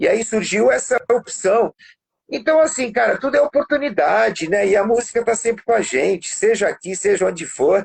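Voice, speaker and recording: This man speaks at a high pitch and a moderate pace. His intonation is lively and his loudness stays very even. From Brazil (born in Portugal, moved at 8-9). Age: 50s. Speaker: musician and studio producer. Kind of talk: music lesson demonstration; casual interview chat.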